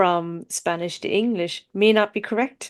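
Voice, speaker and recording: Someone speaks with an Irish accent and fairly even intonation. The sound is dry and close with no echo, over a quiet background. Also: woman. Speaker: podcast host. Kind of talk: casual chat. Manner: halting.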